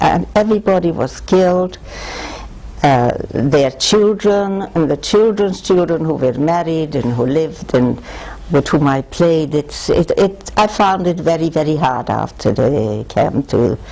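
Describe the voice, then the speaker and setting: A woman with a very deep, low pitch speaks at a fairly slow pace with lively intonation. Her loudness stays very even over noticeable background noise. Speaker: Holocaust survivor. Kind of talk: reading aloud; testimony.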